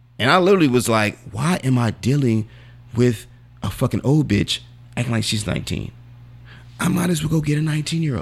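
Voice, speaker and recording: A man speaks at a fairly quick pace with an animated tone, lively intonation, a somewhat breathy sound and long, frequent pauses. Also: medium pitch for a man. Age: 40s. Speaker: podcast host. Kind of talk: casual banter podcast. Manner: animated, profane.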